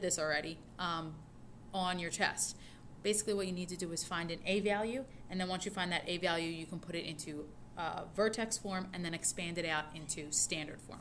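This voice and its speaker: Fairly low in pitch, a woman talks at a fairly quick pace with ordinary pitch variation. An audible echo fills the room. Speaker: high school math teacher. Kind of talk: recorded lecture notes tutorial. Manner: fast.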